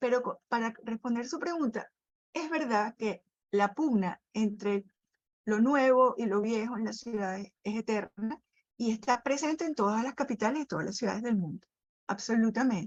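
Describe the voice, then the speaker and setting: Recorded dry and close with no echo, a woman speaks at a moderate pace in an ordinary speaking voice with fairly high pitch. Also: ordinary pitch variation. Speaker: architecture critic and curator. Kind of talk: radio interview.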